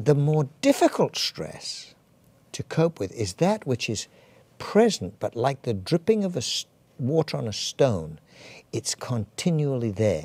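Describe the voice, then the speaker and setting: With an English accent, a man speaks at a fairly slow pace in a fairly high pitch, his dark, mellow tone moving through very wide pitch swings on a very clean recording with a silent background. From England. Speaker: physician. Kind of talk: interview. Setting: studio. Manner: halting.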